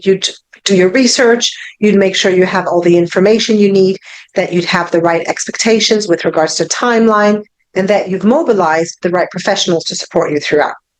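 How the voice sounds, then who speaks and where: A woman talks at a fairly quick pace, her medium-pitched voice showing ordinary pitch variation. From France, Paris. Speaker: divorce coach. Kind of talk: online presentation.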